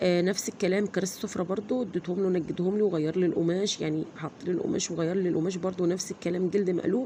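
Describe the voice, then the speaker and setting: A woman with an Egyptian accent at medium pitch, very fast, with hardly any pauses and fairly even intonation, over noticeable background noise. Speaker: vlogger. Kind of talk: casual vlog.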